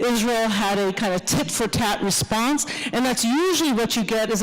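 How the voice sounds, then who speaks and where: A woman with a fairly high pitch speaks at a moderate pace with ordinary pitch variation, amid noticeable background noise and audible room echo. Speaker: professor. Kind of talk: lecture.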